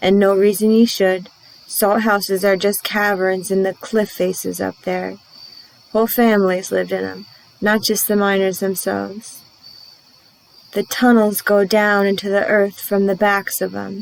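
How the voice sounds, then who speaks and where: A woman's drawling, put-on character voice at a medium pitch and moderate pace, in monotone, flat intonation. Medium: read story. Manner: folksy, drawling dialect.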